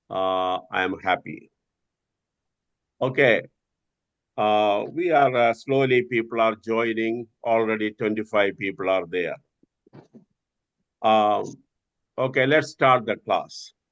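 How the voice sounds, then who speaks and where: Pausing long and often, a man speaks very slowly at a medium pitch with ordinary pitch variation. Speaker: doctor teaching a stress course. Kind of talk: online lecture. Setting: video call. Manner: hesitant, many filler sounds.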